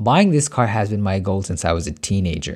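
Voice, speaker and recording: On a very clean recording with a silent background, a man talks at a moderate pace in a fairly low pitch. His intonation is lively, and he has a plain, everyday voice. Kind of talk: dramatic story dialogue.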